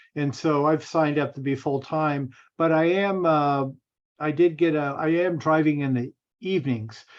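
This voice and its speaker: At a moderate pace, a man speaks in a normal speaking voice with fairly high pitch and fairly even intonation. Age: 60s. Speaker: bus operator and realtor. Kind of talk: casual chat. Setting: video call.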